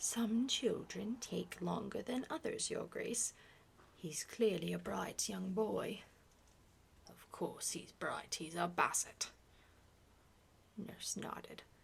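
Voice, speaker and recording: A woman at a very slow pace, with long, frequent pauses and big swings in loudness. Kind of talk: ASMR book reading. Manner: soft-spoken.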